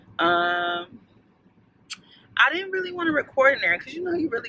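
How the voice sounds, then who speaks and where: This woman talks at a fairly quick pace in an animated tone. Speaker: lifestyle vlogger. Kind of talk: vlog casual chat. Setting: outdoors in a snow storm.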